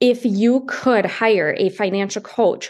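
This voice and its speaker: Over a quiet background, a woman with a fairly high voice sounds upbeat and enthusiastic, her pitch varying in an ordinary way. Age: 30s. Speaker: podcast host and financial coach. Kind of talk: solo podcast monologue. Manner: upbeat, enthusiastic.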